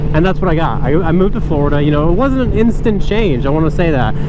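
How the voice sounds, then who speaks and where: A man's fairly high-pitched voice with lively intonation, amid noticeable background noise and audible room echo. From North Carolina. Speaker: motorcycle vlogger. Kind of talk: casual vlog monologue. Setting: riding a motorcycle outdoors. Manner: casual, hesitant with fillers.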